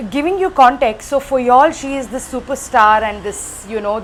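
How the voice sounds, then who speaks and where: Over noticeable background noise, a woman speaks at a moderate pace in a fairly high voice, with hardly any pauses. Her intonation is lively. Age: 30s. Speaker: nurse and doctoral student. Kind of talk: casual chat.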